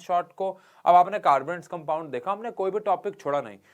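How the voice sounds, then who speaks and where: Against a quiet background, a man talks at a moderate pace in a high voice. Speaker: teacher. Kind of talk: lecture. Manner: conversational, with fillers.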